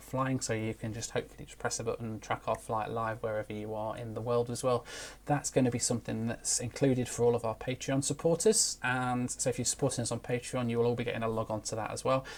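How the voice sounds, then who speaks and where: A man at medium pitch with a British accent, very fast and with hardly any pauses, in monotone, flat intonation on a very clean recording with a silent background. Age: 30s. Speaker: aviation YouTuber. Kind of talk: live stream Q&A. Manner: hesitant with fillers.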